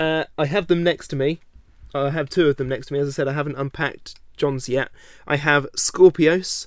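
A man with an English accent, a fairly high pitch and fairly even intonation, at a moderate pace. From England. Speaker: robot combat show host and builder. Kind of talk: interview.

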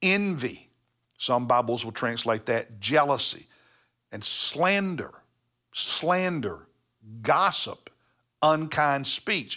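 A man with a fairly high pitch and a bright, sharp tone speaks with lively intonation. His pace is very slow with long, frequent pauses, on a very clean recording with a silent background. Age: 60s. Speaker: pastor. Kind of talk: devotional Bible teaching. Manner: conversational with self-corrections.

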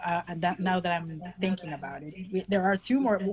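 The woman's voice is somewhat breathy and fairly low in pitch. Her pitch varies in an ordinary way. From Venezuela and France. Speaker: band guitarist. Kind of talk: casual interview chat. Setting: video call.

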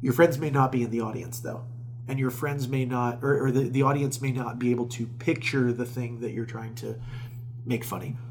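A man with an American accent at medium pitch, somewhat breathy, monotone and flat in intonation, at a fairly quick pace. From Florida, Tampa area. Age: 30s. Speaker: stand-up comedian and festival organizer. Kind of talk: casual interview chat.

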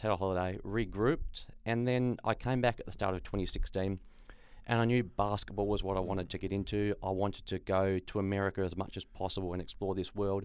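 In a very clean recording with a silent background, a man with an Australian accent talks at a very fast pace, his fairly low voice keeping a fairly even intonation. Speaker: sports journalist and accountant. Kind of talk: interview.

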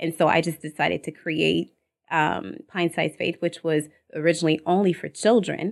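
With vocal fry and a fairly low pitch, a woman talks at a moderate pace with ordinary pitch variation on a very clean recording with a silent background. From Togo-born, raised in Canada (Montreal, Ontario). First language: French. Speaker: entrepreneur and copywriter. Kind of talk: casual interview chat. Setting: studio. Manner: hesitant, many fillers, laughs often.

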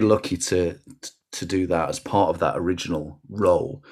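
On a very clean recording with a silent background, a man speaks with a Lancashire accent. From northern England, Rochdale, Lancashire. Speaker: sports journalist and communications manager. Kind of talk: casual interview chat.

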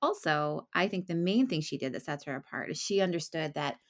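Speaking at a fairly quick pace, a woman uses a normal speaking voice with a fairly low pitch and ordinary pitch variation. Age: 30s. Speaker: romance novelist. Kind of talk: casual interview.

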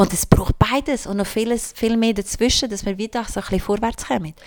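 A woman with a normal speaking voice talks fairly quickly at a medium pitch. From Switzerland, Albanian-speaking migrant family. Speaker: queer activist. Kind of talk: casual chat.

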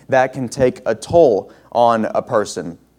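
The man's voice has a dark, mellow tone at a medium pitch. His pitch varies in an ordinary way. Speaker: guest preacher. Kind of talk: sermon. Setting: church with congregation.

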